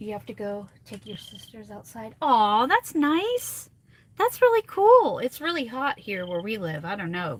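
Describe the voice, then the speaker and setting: Speaking rather slowly, a woman's volume rises and falls sharply. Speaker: craft tutorial livestreamer. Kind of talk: live craft tutorial chat. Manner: soft-spoken, near whispering. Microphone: too quiet for viewers.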